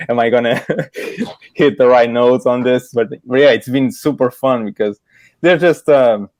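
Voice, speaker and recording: A man with a Portuguese accent speaks at a moderate pace and a medium pitch, keeping his loudness very even. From Portugal. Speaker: illustrator. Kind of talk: casual interview chat. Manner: halting, many repeated words.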